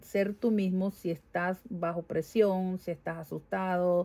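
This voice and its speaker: In a very clean recording with a silent background, a woman with a Venezuelan accent speaks at a very slow pace, her medium-pitched voice dark and mellow in tone. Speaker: vlogger. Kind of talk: casual vlog monologue. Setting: home garage.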